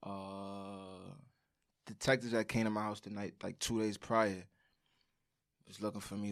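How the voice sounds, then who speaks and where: A man with a New York accent speaks at a moderate pace. His intonation is monotone and flat, and the recording is very clean with a silent background. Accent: New York City. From Brooklyn, New York. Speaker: former inmate. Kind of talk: interview. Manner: casual.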